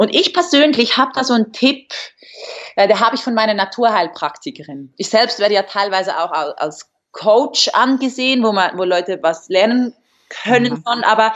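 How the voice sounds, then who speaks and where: Very wide swings in pitch from a woman with a fairly high voice. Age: 20s. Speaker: fitness model. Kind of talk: casual interview. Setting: video call.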